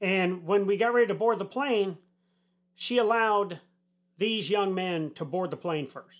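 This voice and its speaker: A man speaks in an American accent at a fairly slow pace. His pitch is high. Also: ordinary pitch variation. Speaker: retired army senior enlisted leader, podcast host. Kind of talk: opinion monologue.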